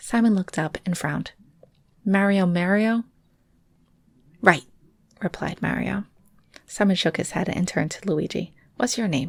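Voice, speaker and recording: A woman whispers quietly in a somewhat breathy voice. She leaves long, frequent pauses. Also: moderate pace. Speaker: storyteller reading a junior novel aloud. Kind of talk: read story. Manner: whispered, hushed.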